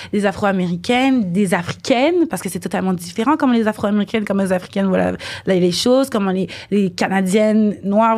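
The speaker is a woman with a medium pitch. She talks very fast. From Quebec, Montreal. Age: 20s. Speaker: dancer and model. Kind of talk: casual chat.

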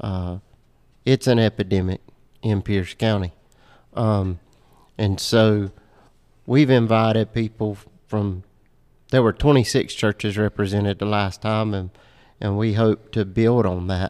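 In a very clean recording with a silent background and a dry, close sound with no echo, a man with a fairly low pitch talks at a fairly slow pace with fairly even intonation and long, frequent pauses. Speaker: church podcast co-host. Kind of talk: casual podcast chat.

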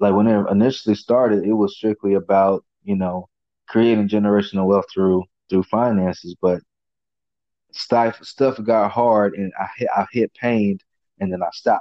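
At a moderate pace, a man talks in an ordinary speaking voice that is fairly low in pitch with fairly even intonation. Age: 20s. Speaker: podcast host. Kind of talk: casual chat.

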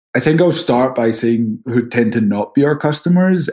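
A man with a Scottish accent, at a moderate pace with ordinary pitch variation. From Scotland. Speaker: title company executive. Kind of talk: interview.

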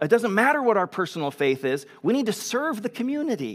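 Loud and animated, a man speaks with very wide swings in pitch. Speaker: pastor. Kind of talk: sermon. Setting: church.

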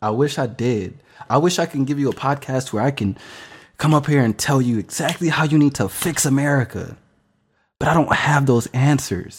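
In a very clean recording with a silent background, a man with a fairly high pitch speaks at a moderate pace in an animated tone, his pitch varying in an ordinary way. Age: 20s. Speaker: podcast host. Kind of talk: casual monologue.

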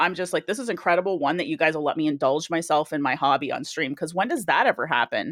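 A woman with a Canadian accent talks very fast in a fairly low voice, with lively intonation and hardly any pauses. The recording is very clean, with a silent background and a dry, close sound with no echo. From Canada. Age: 40s. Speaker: Twitch streamer. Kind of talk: casual chat.

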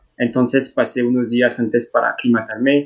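A man speaks with a French accent. His pitch is medium. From France. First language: French (speaking Spanish). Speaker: traveller. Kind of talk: casual chat. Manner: halting.

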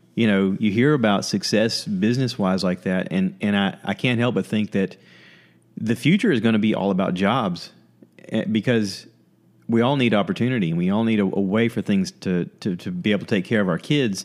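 On a very clean recording with a silent background, a man with an ordinary speaking voice and an American accent talks fairly quickly at a fairly low pitch with ordinary pitch variation. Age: 40s. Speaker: podcast host. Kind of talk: casual chat.

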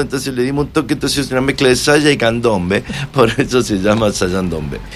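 Speech runs at a very fast pace with ordinary pitch variation. Noticeable background noise is present. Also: man. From Argentina, Mendoza. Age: 60s. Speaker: musician. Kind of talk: casual interview.

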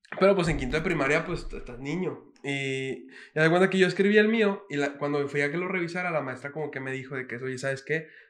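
Noticeable background noise sits behind a man talking at a very fast pace with hardly any pauses. His pitch is fairly high, with ordinary variation. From Mexico City. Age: 20s. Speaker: reggaeton singer. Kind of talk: casual chat.

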